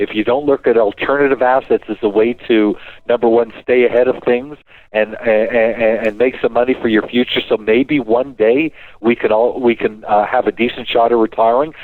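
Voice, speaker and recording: At a moderate rate, a man speaks in a medium pitch. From Canada. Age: 60s. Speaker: financial and diamond investment expert. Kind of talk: radio show talk. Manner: animated.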